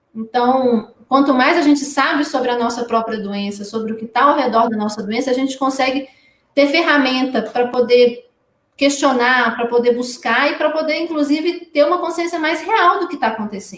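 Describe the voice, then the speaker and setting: The woman's high voice carries ordinary pitch variation and holds a moderate pace. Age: 30s. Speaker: patient advocate with inherited retinal disease. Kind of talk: live-stream interview.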